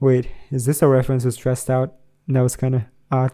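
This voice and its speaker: Speaking with a non-native accent, a man has a dark, mellow tone at medium pitch. His pace is fairly quick. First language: not English. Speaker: music reaction youtuber. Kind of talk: reaction commentary while reading a review aloud.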